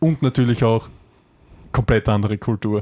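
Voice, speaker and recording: In an Austrian accent, a man talks at a moderate pace and medium pitch with fairly even intonation, in a very clean recording with a silent background and a dry, close sound with no echo. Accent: Austrian dialect, some. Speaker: podcast co-host. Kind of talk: casual chat.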